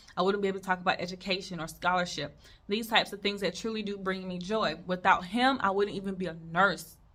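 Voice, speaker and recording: Bright and sharp in tone, a woman with an American accent speaks at medium pitch and a fairly quick pace, sounding animated. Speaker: nurse and video creator. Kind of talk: casual advice talk to camera. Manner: stutters.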